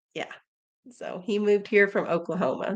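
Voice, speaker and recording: Speaking at a fairly quick pace, a woman with an American accent uses an unremarkable speaking voice at medium pitch. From Missouri. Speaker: homesteader and family channel host. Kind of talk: casual live-stream Q&A.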